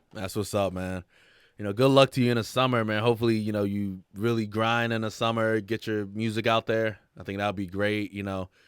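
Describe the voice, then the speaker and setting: The recording is very clean, with a silent background. A man speaks at a fairly quick pace in a fairly low pitch, his intonation monotone and flat. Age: 30s. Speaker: podcast host, interviewer. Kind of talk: casual interview.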